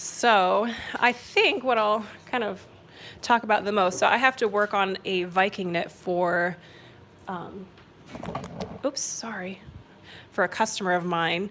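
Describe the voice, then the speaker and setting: A woman's medium-pitched voice at a fairly slow pace with long, frequent pauses, amid noticeable background noise. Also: ordinary pitch variation. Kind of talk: livestream craft chat. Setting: solo livestream. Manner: casual, chatty.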